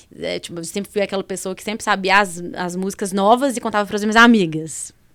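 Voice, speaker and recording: Speaking at a very fast pace with a Minas Gerais accent, a woman keeps her intonation fairly even while her loudness swings widely. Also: medium pitch for a woman. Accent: Mineiro. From Brazil, Minas Gerais (Belo Horizonte). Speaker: entrepreneur, pharmacist. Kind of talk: podcast interview.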